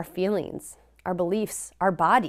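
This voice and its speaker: A woman talks at a moderate pace with a Midwestern US accent. The recording is very clean, with a silent background. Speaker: professor. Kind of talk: lecture.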